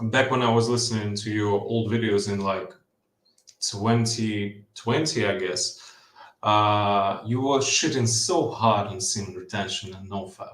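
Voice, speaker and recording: A man's fairly low voice at a fairly slow pace, fairly even in intonation, with audible room echo. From Ukraine. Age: 20s. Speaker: caller. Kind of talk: casual chat. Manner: halting, many fillers and repeats.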